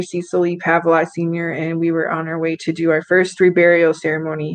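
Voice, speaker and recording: A woman speaks with a fairly low pitch. The background is quiet. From US Midwest. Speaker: talk show guest. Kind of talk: casual chat. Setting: video call. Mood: reflective, warm. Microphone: video call.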